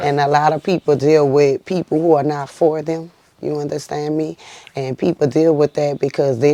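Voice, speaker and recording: Through noticeable background noise, a woman with a New Orleans accent speaks in a very deep, low voice with fairly even intonation, the sound dry and close with no echo. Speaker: singer. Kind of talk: interview answer. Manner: soft-spoken.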